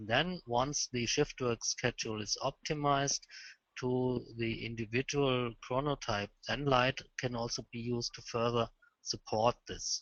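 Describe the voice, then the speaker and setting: In a German accent, a man talks at a fairly slow pace and medium pitch with fairly even intonation. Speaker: lighting expert presenter. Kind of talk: webinar presentation Q&A. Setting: phone call. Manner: halting.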